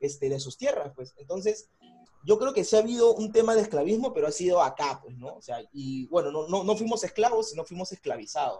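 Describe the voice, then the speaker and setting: Here a man talks at a fairly quick pace with a high pitch and lively intonation. His tone is dark and mellow. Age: 20s. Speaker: podcast co-host. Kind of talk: casual chat.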